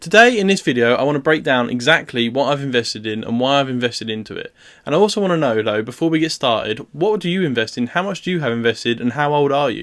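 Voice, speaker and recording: A man's fairly high voice in a British accent, very fast with hardly any pauses and lively intonation, on a very clean recording with a silent background. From UK. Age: 20s. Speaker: student investing vlogger. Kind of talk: casual video vlog explaining portfolio.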